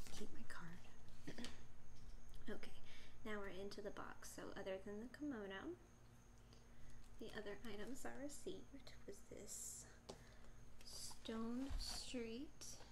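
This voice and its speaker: Noticeable background noise under long, frequent pauses. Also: woman. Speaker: unboxing vlogger. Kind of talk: ASMR unboxing talk to camera. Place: home room. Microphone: phone near.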